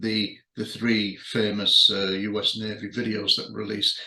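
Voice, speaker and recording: A man's medium-pitched voice with a British accent, a bright, sharp tone and vocal fry. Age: 60s. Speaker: magazine editor and UFO researcher. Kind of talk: video monologue to readers. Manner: halting, many fillers.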